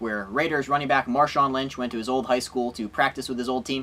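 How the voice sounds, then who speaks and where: A man speaks over noticeable background noise. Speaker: sports comedy show host. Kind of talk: comedic sports monologue to camera. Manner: sarcastic, joking.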